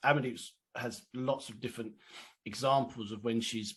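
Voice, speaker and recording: A man with a medium pitch and ordinary pitch variation speaks in an ordinary speaking voice against a quiet background. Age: middle-aged. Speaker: podcast co-host. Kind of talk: casual chat.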